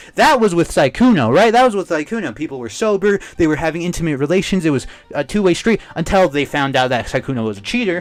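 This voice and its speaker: Shouting loudly at a very fast pace, a man's high voice swings very widely in pitch. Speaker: YouTube commentator. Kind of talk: commentary rant. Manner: loud, yelling; animated.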